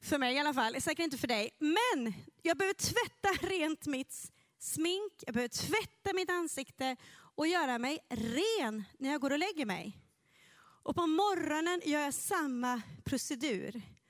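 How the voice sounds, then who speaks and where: A woman's high-pitched, animated voice at a fairly slow pace, with very wide pitch swings. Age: 40s. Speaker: pastor. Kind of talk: sermon.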